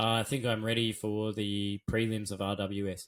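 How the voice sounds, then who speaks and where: A man with an Australian accent at a moderate pace. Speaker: Muay Thai commentator and former fighter. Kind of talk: interview answer. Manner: casual, conversational.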